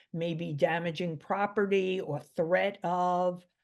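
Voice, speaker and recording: In a New York accent, a woman speaks at a very slow pace with ordinary pitch variation. The background is quiet. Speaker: mental health expert. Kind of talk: interview.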